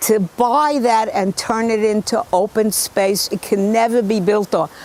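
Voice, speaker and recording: A woman's fairly high voice at a fairly slow pace, over noticeable background noise. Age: 80s+. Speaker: local party committeewoman. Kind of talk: documentary interview and casual talk. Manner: outspoken.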